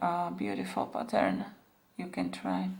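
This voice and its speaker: A woman speaks with a non-native accent. Audible room echo surrounds her voice. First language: not English. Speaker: beading tutorial creator. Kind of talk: tutorial. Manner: halting, many fillers.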